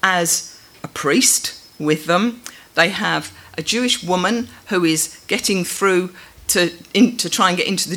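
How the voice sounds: This is a natural reading voice. The pitch shows ordinary variation.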